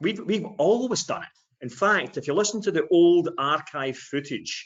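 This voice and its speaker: A Scottish accent from a male speaker. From Scotland. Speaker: sales trainer. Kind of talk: webinar discussion.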